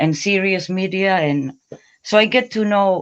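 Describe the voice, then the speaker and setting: A speaker with a non-native accent talks at a very slow pace. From Spain. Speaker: caller. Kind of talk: call-in question. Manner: halting.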